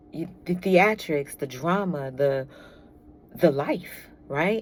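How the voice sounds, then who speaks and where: A woman with a fairly low pitch speaks fairly slowly. Her tone is animated and her intonation lively. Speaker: tarot reader. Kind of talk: tarot reading.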